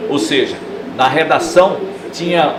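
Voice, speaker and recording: A man with a strong northeastern Brazilian accent speaks at a high pitch. Noticeable background noise and audible room echo surround him. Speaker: TV sports reporter. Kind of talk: interview testimony.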